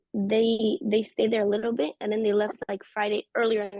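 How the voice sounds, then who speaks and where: Woman at medium pitch in an Israeli accent, monotone and flat, at a fairly quick pace. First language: Hebrew. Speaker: interviewee sharing personal experience. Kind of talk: personal testimony in conversational interview.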